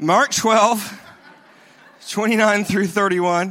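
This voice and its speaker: In a very clean recording with a silent background, a man with a Southern US accent uses a raised, projected voice with a bright, sharp tone at a moderate pace. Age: 40s. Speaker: pastor. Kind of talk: sermon. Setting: church.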